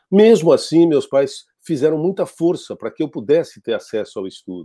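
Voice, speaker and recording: A man's fairly high, dark, mellow voice with lively intonation at a moderate pace, over a quiet background. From Brazil, São Paulo state (grew up in a travelling circus). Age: 60s. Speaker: TV news anchor. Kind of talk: interview. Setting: online live interview. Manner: formal. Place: home room. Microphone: earbuds.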